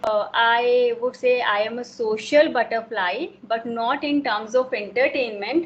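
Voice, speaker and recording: A woman with a Himachal Pradesh accent speaks at a high pitch. She talks at a fairly slow pace with ordinary pitch variation. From India, Himachal Pradesh. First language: Himachali. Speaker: homemaker. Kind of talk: casual conversation.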